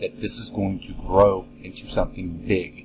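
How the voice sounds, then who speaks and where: Music plays in the background while a man speaks in a very deep, low pitch. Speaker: podcast host. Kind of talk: casual monologue. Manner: halting.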